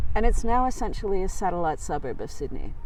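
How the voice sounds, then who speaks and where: A woman's voice carries an audible room echo. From New York State, US; raised in Australia from 1974. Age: 50s. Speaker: psychologist and solo stage performer. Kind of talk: interview. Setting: outdoors by a river.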